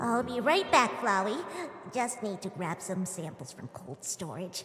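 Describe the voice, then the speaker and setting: Amid clear background noise and a slight echo, a female-sounding put-on character voice speaks at a medium pitch and a moderate pace. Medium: fan dub. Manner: stammering.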